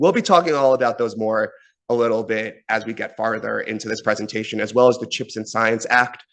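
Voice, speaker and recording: In an American accent, a man talks very fast at medium pitch against a quiet background. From New York. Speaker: university government relations officer. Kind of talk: presentation.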